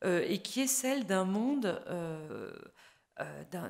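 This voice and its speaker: At a very slow pace, a woman speaks in a medium pitch with lively intonation. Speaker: foreign policy expert, panelist. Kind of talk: panel talk at a public conference. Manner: hesitant, many fillers.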